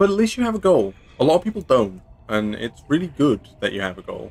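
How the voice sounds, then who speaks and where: A man at a medium pitch talks at a very fast pace. His pitch swings very widely, and his loudness swings a lot as well. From England. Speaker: video game streamer. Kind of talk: live gameplay commentary. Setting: live stream. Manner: animated.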